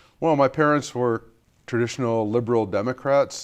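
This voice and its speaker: With an American accent, a man speaks in a plain, everyday voice at a moderate pace and medium pitch, with ordinary pitch variation. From US Midwest, Bloomington, Indiana. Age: 60s. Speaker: climate scientist. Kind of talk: interview.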